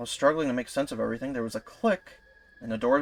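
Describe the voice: Simple, plain reading aloud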